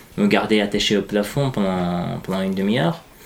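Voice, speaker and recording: The man's intonation is lively. Noticeable background noise sits behind him. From Iran (Afghan refugee family). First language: Dari/Persian (speaking French). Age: 20s. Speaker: journalist. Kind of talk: testimony. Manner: halting.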